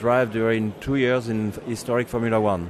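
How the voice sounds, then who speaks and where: A man talks at a medium pitch and a moderate pace. His intonation is monotone and flat, with noticeable background noise behind him. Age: 70s. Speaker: racing driver and magazine founder. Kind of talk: interview. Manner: halting, many hesitations.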